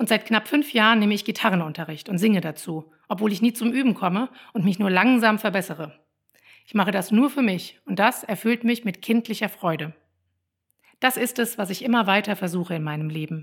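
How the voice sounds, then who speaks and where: At a fairly quick pace and medium pitch, a woman speaks with ordinary pitch variation in a very clean recording with a silent background. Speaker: parenting coach and podcaster. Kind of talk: personal monologue.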